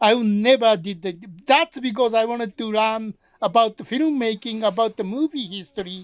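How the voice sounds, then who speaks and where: A man with a Japanese accent speaks at a moderate pace in an extremely high voice with ordinary pitch variation. The sound is dry and close with no echo. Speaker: film producer and podcast co-host. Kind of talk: casual chat.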